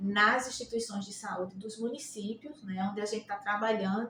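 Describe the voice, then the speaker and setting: A woman with ordinary pitch variation speaks at a moderate pace amid noticeable background noise. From Brazil, Rio Grande do Norte (Natal). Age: 60s. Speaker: nursing professor. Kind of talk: interview. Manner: halting, many fillers.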